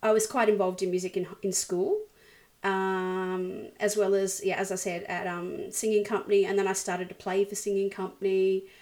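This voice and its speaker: A woman speaks at a moderate pace with an Australian accent. Her medium pitch stays monotone, with flat intonation. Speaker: worship leader and musician. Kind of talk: interview. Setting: video call.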